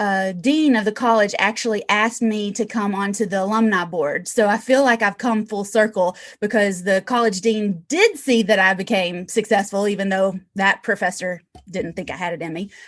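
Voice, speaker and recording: A woman's medium-pitched voice with ordinary pitch variation, hardly any pauses, and a quiet background. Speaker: real estate investor. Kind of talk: interview. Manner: fast; animated.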